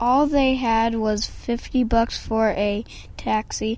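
In an unforced reading voice, the intonation stays fairly even.

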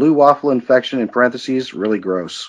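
A man talks at a very fast pace. His pitch sits in the medium range, with ordinary variation. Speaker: podcast co-host. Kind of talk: casual chat. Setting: online group call. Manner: calm, sounds sarcastic.

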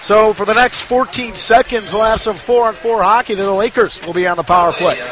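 A man with a high pitch talks fairly quickly in a fairly even intonation. There is noticeable background noise. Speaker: color commentator. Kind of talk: live hockey color commentary. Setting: broadcast booth at ice arena.

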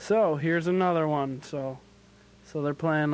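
At a fairly slow pace and a fairly high pitch, a man speaks over a quiet background. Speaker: college radio DJ. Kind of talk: casual radio show hosting. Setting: radio studio. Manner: self-described monotone.

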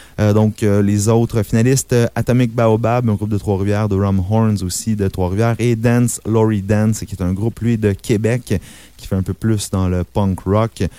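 A man's fairly low, dark and mellow voice in a flat monotone at a moderate pace. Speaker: radio host. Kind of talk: radio show hosting. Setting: radio studio. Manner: hesitant, many fillers.

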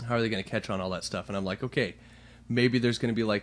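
A man's voice with fairly even intonation, against a quiet background. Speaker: podcast host. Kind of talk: casual chat. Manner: loud.

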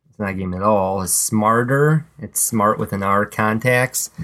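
An unremarkable speaking voice moves at a fairly slow pace in a very clean recording with a silent background. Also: man. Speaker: podcast co-host. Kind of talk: casual chat. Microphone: old podcast mic, not the new one.

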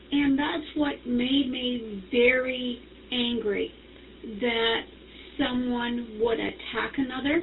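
Noticeable background noise sits behind a woman. She talks at a very slow pace in a high pitch with fairly even intonation. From Canada. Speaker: participant, small business owner. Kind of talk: casual group chat.

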